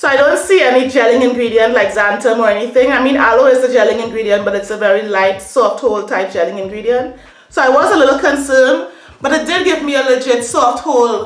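A woman at a very fast pace and high pitch, with ordinary pitch variation and audible room echo. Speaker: hair product reviewer. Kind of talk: casual vlog chat. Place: home room. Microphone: phone near.

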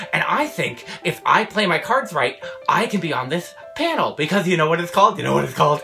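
A cartoonish character voice speaks over clear music in the background. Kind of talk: comedy sketch. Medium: puppet. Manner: upbeat, eager.

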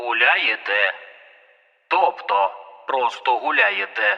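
A man puts on a robotic character voice, pitched fairly high. He speaks at a very slow pace. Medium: read story. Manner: clipped, commanding.

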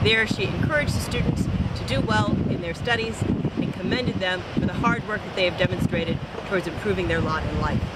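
Talking at a very fast pace, a woman is heard over loud background noise, the sound dry with no echo. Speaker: news presenter. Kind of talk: news reading, polished broadcast report. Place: beach.

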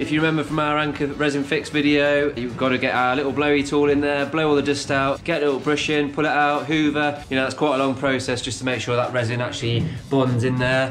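Over clear music in the background, a man talks at a very fast pace in a monotone, flat intonation. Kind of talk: tutorial. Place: kitchen. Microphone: phone near.

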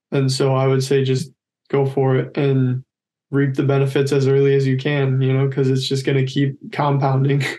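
A man speaks at a moderate pace in a dark, mellow tone that is somewhat breathy. His loudness is very even and his intonation monotone and flat. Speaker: college decathlete; podcast guest. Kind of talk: casual interview. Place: home room. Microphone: video call.

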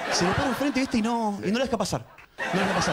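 A man with a Rioplatense accent, animated in tone and very fast in pace, over loud background noise. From Argentina. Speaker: stand-up comedian. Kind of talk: stand-up comedy routine. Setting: stage with audience. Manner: animated, conversational, stammering and repeating words as comic timing; cheeky, self-deprecating storyteller with punchline delivery and audience interplay. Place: studio. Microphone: handheld.

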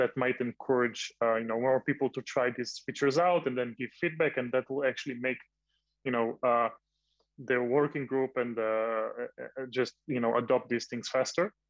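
A man at a moderate pace with fairly even intonation, dry sound with no echo, and a quiet background. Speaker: open source software developer; panelist. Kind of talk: panel discussion. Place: home room. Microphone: video call.

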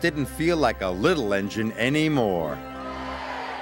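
Someone reads in an unforced voice.

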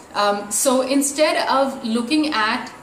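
With light background noise and audible room echo, a woman speaks with ordinary pitch variation. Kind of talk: casual vlog chat. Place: home room.

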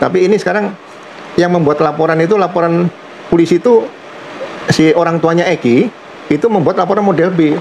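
A fairly high-pitched man at a fairly quick pace, slightly mellow in tone with vocal fry, over faint background noise

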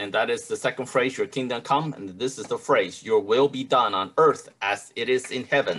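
Barely pausing at all, a man keeps a moderate pace. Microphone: video call.

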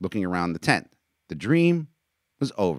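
Plain reading aloud with a quiet background

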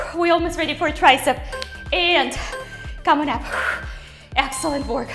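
A woman speaks in a raised, projected voice. Faint music plays in the background. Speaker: fitness instructor. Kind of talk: workout coaching cues.

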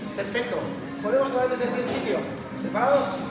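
A man talks over loud background music. The room echo is audible. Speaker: fitness coach. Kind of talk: workout instruction.

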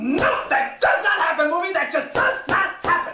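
A man shouting at a moderate pace with an extremely high pitch and a slight echo. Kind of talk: comic overacting. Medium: fan dub. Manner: exasperated, shouting.

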